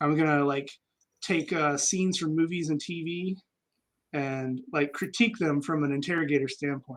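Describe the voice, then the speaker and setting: This man talks at a fairly quick pace with an American accent. His pitch is fairly high. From Kansas (military brat). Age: 40s. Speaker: army veteran, former interrogator. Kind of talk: casual chat. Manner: hesitant, many fillers.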